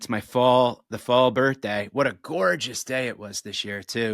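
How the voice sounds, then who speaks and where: In a very clean recording with a silent background and a dry, close sound with no echo, a man speaks at a moderate pace in a plain, everyday voice with fairly even intonation. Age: 40s. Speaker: comedian. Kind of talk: casual chat.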